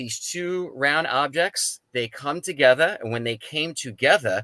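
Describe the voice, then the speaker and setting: A man with a New York accent speaks at a fairly slow pace. His tone is bright and sharp, and the sound is dry and close with no echo. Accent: East Coast New York. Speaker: paranormal experiencer, Coast Guard veteran. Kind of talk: testimony. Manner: animated.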